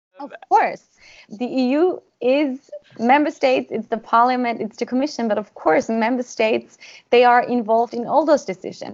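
A woman's high-pitched voice with a German accent, ordinary pitch variation and a moderate pace. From Austria. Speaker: government negotiator. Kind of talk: interview.

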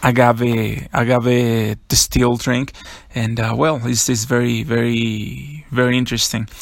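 A man with a Mexican accent speaks at a medium pitch and a very slow pace, his intonation flat and monotone. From Mexico, San Miguel de Allende. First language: Spanish. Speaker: podcast host, food and beverage worker. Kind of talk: casual monologue. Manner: halting, many fillers.

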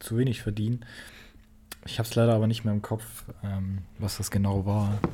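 A man speaks in a dark, mellow tone that is somewhat breathy. His intonation is monotone and flat. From Saxony, Germany. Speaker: podcast co-host, university student. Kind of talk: casual chat. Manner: halting, many fillers.

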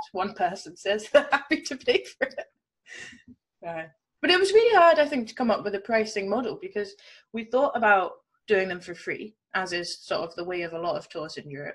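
Somewhat breathy and fairly high-pitched, a woman talks fairly quickly, with very wide pitch swings and big swings in loudness. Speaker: entrepreneur and podcast co-host. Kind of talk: casual chat.

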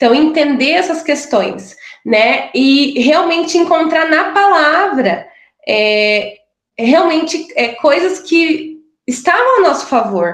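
A woman's high-pitched voice moves very slowly, with lively intonation. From Brazil, interior of Paraná. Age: 30s. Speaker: pilates instructor, podcast guest. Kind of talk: personal testimony.

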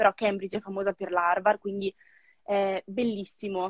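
A woman is speaking. Her pace is moderate. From northern Italy, Novara province. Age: 20s. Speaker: former au pair and mentor. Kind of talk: casual interview. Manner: animated.

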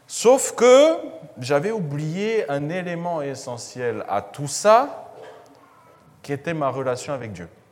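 Amid audible room echo and noticeable background noise, the voice moves at a very slow pace with long, frequent pauses and very wide pitch swings. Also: man, fairly high pitch for a man. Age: 20s. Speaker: financial education trainer. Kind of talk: talk to church audience. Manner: hesitant, many fillers.

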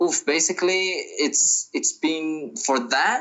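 A man with a Brazilian accent at a very slow pace. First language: Portuguese. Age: 20s. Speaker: touring musician. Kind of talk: casual interview.

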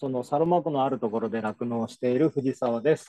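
Here a man speaks at a moderate pace. His pitch shows ordinary variation. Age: 40s. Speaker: dairy farmer. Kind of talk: casual chat.

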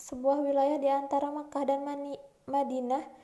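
Noticeable background noise beneath a woman's high voice. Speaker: university student. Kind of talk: student presentation reading aloud. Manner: formal.

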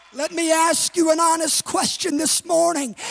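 Music plays in the background as a man speaks in an extremely high pitch. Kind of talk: sermon, a preacher in full flow, building to a rousing altar call with the congregation. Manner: loud, rising and emphatic, driving each line home with repeated phrases.

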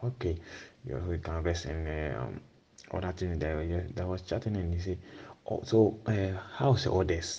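In a Ghanaian accent, a man speaks with a very deep, low pitch and ordinary pitch variation. His tone is dark and mellow, and somewhat breathy. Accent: Ghanaian-accented Italian and English. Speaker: storyteller. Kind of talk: storytelling. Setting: remote voice recording. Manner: halting.

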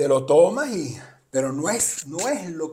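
A man with a fairly high voice and ordinary pitch variation speaks with audible room echo. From abroad, not Argentina. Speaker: podcast co-host, father of co-host. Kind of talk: casual chat.

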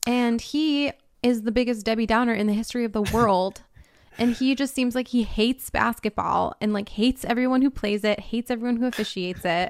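This woman has a plain, everyday voice with a fairly high pitch and an American accent. Her intonation is fairly even, and the sound is dry and close with no echo. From Minneapolis, US Midwest. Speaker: sports podcast host. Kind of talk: casual chat about basketball.

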